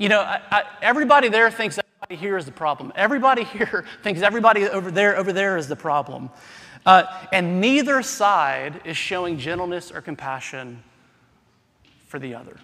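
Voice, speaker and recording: A man's raised, projected voice in an American accent, high pitch, very wide pitch swings, big swings in loudness and a fairly quick pace. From US South. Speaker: pastor. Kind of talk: sermon. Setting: church.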